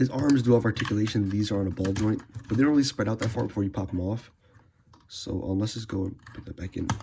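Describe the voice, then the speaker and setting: Noticeable background noise sits behind a man talking at a very fast pace and medium pitch. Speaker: toy reviewer. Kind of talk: casual talk to camera. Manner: excited, profane.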